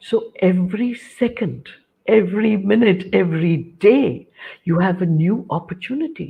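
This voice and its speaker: Moderately paced female speech, somewhat breathy. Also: medium pitch for a woman, lively intonation. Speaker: cancer counsellor and motivational speaker. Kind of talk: interview.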